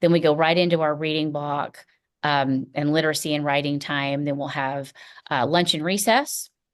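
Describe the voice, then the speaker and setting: A woman's very deep, low voice with a slight Tennessee accent, fairly even intonation and a moderate pace, over a quiet background. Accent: slight Tennessee Southern. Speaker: first grade teacher. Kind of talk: school welcome presentation to parents. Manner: casual, frequent fillers um and uh.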